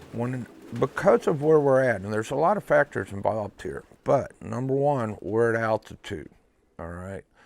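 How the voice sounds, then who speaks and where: Lively intonation marks a man's plain, everyday voice at medium pitch. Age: 60s. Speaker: one-loft pigeon race operator. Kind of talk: documentary interview. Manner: casual, blunt.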